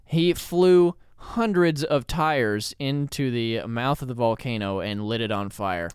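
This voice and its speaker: Speaking at a fairly slow pace, a man uses an ordinary speaking voice of medium pitch with lively intonation. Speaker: podcast co-host. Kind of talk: casual chat. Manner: joking.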